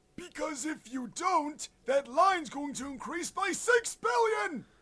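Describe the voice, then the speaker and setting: Put-on character voice from a man, extremely high-pitched and fairly slow. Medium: fan dub. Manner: polite, put-upon.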